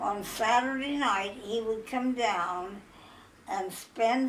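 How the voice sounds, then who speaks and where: A woman speaks at a very slow pace in a Midwestern accent. Noticeable background noise runs underneath. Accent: American Midwestern. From Iowa, USA. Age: 80s+. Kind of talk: life story interview. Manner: joyful, energetic.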